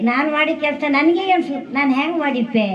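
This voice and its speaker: A high-pitched woman's voice with lively intonation, heard with audible room echo and noticeable background noise. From coastal Karnataka, Udupi district. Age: old. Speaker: farmer. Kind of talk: speech. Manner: halting.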